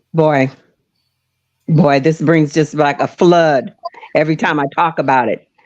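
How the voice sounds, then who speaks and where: The intonation stays fairly even. Long pauses come often. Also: woman, very deep, low pitch for a woman. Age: 70s. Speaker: bereaved mother. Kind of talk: testimony. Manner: halting.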